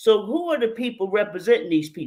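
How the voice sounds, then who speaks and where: Speaking with a New York accent, a woman uses a fairly high pitch that swings very widely. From New York City, South Bronx. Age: 60s. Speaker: mitigation specialist. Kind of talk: radio interview.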